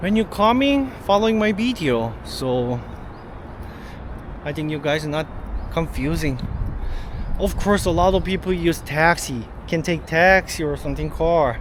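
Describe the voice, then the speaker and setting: A man with a Korean accent, fairly high pitch and lively intonation, at a fairly slow pace with long, frequent pauses, amid noticeable background noise. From South Korea. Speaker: travel vlogger. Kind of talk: travel vlog walkthrough.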